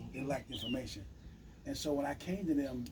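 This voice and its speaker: A man with an American accent at a fairly high pitch and very fast pace, amid noticeable background noise and audible room echo. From US Midwest, Chicago. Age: 60s. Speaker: financial advisor. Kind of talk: sales pitch.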